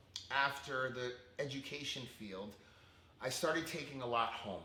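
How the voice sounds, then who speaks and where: An animated man with an American accent speaks at a moderate pace and medium pitch. Audible room echo and noticeable background noise are present. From Connecticut, US. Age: 40s. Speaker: fitness instructor and former preschool teacher. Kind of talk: interview testimony. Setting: podcast.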